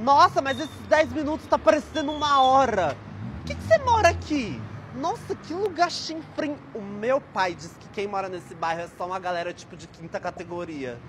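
A whiny, put-on character voice with a fairly high pitch moves at a moderate pace. Background noise is clearly audible. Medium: comedy sketch. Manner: whiny, snobbish, dramatic.

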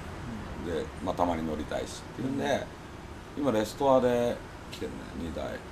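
The speaker talks at a moderate pace over noticeable background noise. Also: man. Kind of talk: interview answer. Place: shop.

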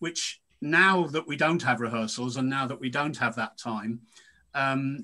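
A man's bright, sharp voice at a fairly high pitch, with ordinary pitch variation, a moderate pace and a quiet background. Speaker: actor. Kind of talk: casual chat. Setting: video call. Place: home room. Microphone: video call.

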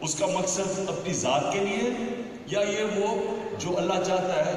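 Strong room echo surrounds this man's voice. Light background noise is also present. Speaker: guest. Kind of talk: public speech. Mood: earnest, storytelling about history. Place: hall. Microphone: pa.

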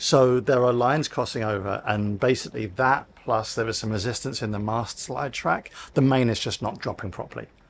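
A man speaks at a medium pitch with vocal fry and ordinary pitch variation. His pace is moderate, with few pauses.

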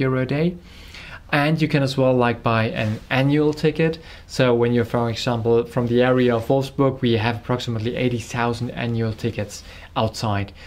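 A man at medium pitch, with very even loudness and a moderate pace. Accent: German. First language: German. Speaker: company representative. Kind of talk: interview. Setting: on location at car venue.

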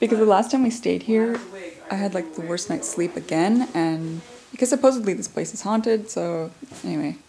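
Vocal fry in a dark, mellow tone, with ordinary pitch variation at a moderate pace. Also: woman, medium pitch for a woman.

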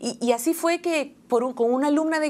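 Speaking at a fairly quick pace, a woman with a Peruvian accent uses ordinary pitch variation. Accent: Peruvian Spanish (Lima). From Peru, Lima (Barranco). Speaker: children's singer and music teacher; music teacher. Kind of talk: interview. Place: studio.

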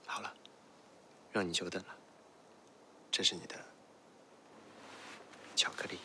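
Someone is whispering at a moderate pace, with big swings in loudness. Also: man. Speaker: actor. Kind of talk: ASMR TV commercial. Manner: whispered, soft-spoken. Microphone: studio mic.

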